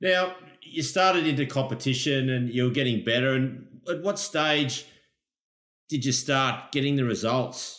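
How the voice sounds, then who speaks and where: With an Australian accent, a man speaks at a very even loudness. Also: medium pitch for a man, ordinary pitch variation, fairly slow pace. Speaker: podcast host, lifeguard. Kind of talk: casual interview.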